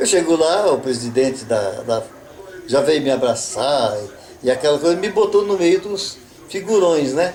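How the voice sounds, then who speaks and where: Over noticeable background noise, a man with a fairly high pitch speaks at a fairly slow pace, his pitch swinging very widely. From Avaré, São Paulo, Brazil. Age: 80s+. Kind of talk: interview answer. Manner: casual storytelling.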